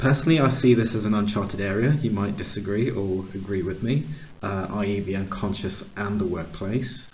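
Speaking at a fairly low pitch, a man is heard over noticeable background noise. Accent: American. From US, Pittsburgh, Pennsylvania. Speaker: podcast host, organizational consultant. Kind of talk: interview conversation.

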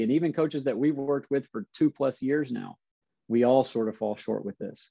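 Speaking at a moderate pace, a man uses a normal speaking voice at a medium pitch with ordinary pitch variation. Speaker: basketball coach. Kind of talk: casual interview chat.

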